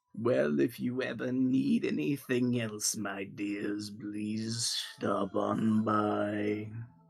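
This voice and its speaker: Putting on a character voice, a man speaks very slowly at a fairly low pitch. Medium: actual play. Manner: syrupy, falsely sweet.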